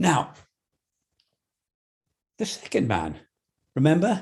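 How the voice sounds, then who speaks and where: Vocal fry marks the dark, mellow tone of a man speaking at a fairly slow pace. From England. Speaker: storyteller. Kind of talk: folk tale storytelling.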